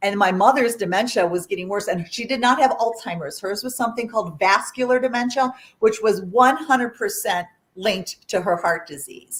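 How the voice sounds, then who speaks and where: Somewhat breathy woman's voice, fairly high-pitched, with a fairly quick pace and lively intonation. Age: 60s. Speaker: artist, author and plant-based chef. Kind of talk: interview storytelling. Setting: livestreamed interview. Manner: conversational with fillers.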